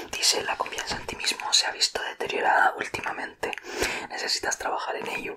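A man whispers at a fairly quick pace. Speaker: ASMR creator. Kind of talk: ASMR personality test talk to viewer. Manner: whispered. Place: home room. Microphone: studio mic.

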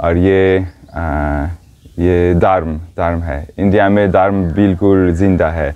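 A man's very deep, low voice at a very slow pace, over a quiet background. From Switzerland. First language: not Hindi; learned Hindi four years ago (speaking Hindi). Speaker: foot pilgrim and yoga teacher. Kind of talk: interview. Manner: halting, many hesitations. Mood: cheerful, relaxed. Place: tent. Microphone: lapel.

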